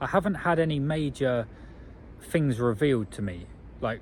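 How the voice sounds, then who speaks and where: The intonation is lively and the voice somewhat breathy. It comes with an English accent. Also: man. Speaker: vlogger. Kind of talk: video diary.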